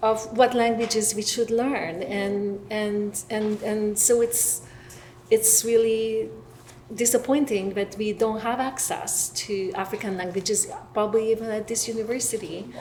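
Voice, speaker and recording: A woman's fairly high voice with a Hungarian accent, a fairly slow pace, and noticeable background noise. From Hungary. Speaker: professor. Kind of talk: panel discussion. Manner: halting.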